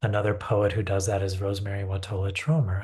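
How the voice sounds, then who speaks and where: A man talks in a calm tone at a fairly low pitch. His voice is somewhat breathy. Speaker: poet. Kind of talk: poetry reading with commentary. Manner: calm, unhurried.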